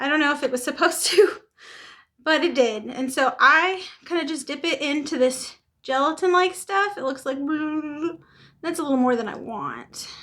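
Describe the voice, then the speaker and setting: A raised, projected voice with a bright, sharp tone and long, frequent pauses. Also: woman, high pitch for a woman, ordinary pitch variation, moderate pace. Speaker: beauty vlogger. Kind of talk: makeup tutorial. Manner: casual.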